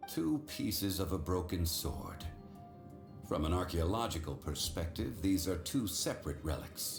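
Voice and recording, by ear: A man puts on a character voice, low in pitch with big pitch swings, at a fairly slow pace. Clear music plays in the background.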